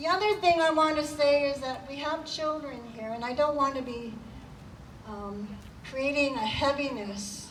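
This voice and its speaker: Her loudness swinging widely, a woman with a high pitch and ordinary pitch variation is heard over noticeable background noise with audible room echo. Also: moderate pace. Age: old. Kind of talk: rally speech.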